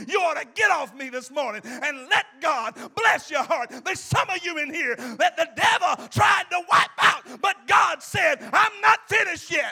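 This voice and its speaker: A man is shouting at an extremely high pitch, with an animated tone and lively intonation at a moderate pace. Noticeable background noise is present. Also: hardly any pauses. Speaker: preacher. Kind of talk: sermon, preacher in full flow with call-and-response. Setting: church with a live congregation. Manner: animated, emphatic, repeats lines and urges the congregation to answer; exhorting, pastoral.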